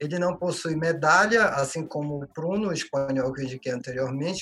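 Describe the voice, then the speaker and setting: Noticeable background noise sits behind this man's voice. He talks at a moderate pace with a fairly high pitch. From Belém, Pará, northern Brazil. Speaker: labour judge, wine enthusiast. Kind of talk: casual chat.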